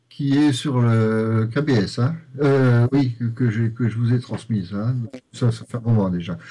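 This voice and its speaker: A man speaks at a very slow pace. His tone is dark and mellow, his pitch medium. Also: ordinary pitch variation. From Lorraine, France. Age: 50s. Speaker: novelist and primary school headteacher. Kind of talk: interview. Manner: halting, many repetitions and fillers.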